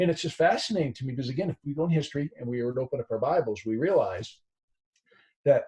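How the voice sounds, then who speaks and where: Somewhat breathy and dark, mellow in tone, a man's fairly high voice carries ordinary pitch variation. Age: 50s. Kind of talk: casual discussion. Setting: video call.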